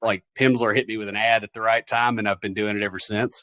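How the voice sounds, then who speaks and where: Against a quiet background, a man with a Southern US accent speaks at a medium pitch with a bright, sharp tone in a dry, close sound with no echo. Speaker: software developer and podcaster. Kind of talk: casual interview. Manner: hesitant, many fillers.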